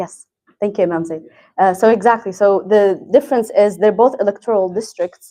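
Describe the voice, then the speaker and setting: A woman speaks fairly quickly at a medium pitch. Her tone is dark and mellow, with fairly even intonation. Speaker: community program manager. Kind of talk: presentation. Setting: mosque hall with audience. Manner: soft-spoken.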